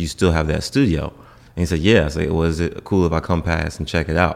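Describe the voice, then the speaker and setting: The recording is very clean, with a silent background. A man speaks in a very deep, low pitch with fairly even intonation. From US South, Norfolk, Virginia. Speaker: singer and dancer. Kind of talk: casual chat.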